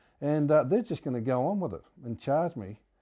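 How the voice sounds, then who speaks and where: On a very clean recording with a silent background, a man with a New Zealand accent speaks in a dark, mellow tone with lively intonation. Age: 70s. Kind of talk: interview answer. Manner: hesitant, stammering.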